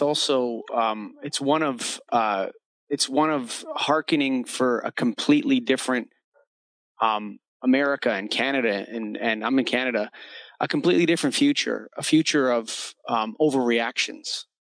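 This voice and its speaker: A man in a normal speaking voice, medium in pitch, at a moderate pace, with a dry, close sound and no echo. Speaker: podcast host. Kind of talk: casual interview.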